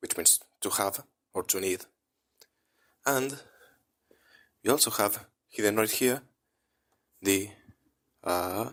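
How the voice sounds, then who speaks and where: Very slowly and with long, frequent pauses, a man with a Spanish accent talks at a fairly low pitch with ordinary pitch variation, recorded very cleanly against a silent background. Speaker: language teacher. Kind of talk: tutorial. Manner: casual, animated.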